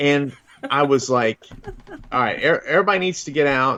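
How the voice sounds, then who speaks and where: A man's fairly high voice at a moderate pace against noticeable background noise. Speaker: paranormal investigator telling a story. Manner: animated storyteller.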